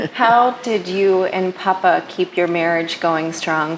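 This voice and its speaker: A woman talks at a medium pitch with ordinary pitch variation. Background noise is noticeable. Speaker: podcast interviewer. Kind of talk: interview questions.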